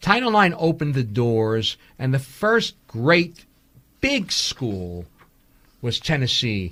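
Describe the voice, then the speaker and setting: A man with a New York accent talks at a medium pitch with very wide pitch swings, on a very clean recording with a silent background. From New York City (Brooklyn). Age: 60s. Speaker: documentary filmmaker. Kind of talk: radio interview. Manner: animated.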